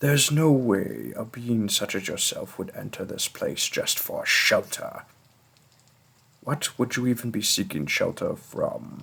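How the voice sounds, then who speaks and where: The speaker is a man in a put-on character voice. His delivery is fairly slow. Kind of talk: role play audio addressed to the listener. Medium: audio drama.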